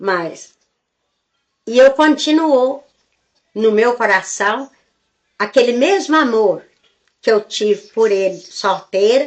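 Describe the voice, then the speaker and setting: Long, frequent pauses break up a woman's very slow speech. Her fairly high voice carries lively intonation. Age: 80s+. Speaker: elderly storyteller. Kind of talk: life story interview. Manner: halting.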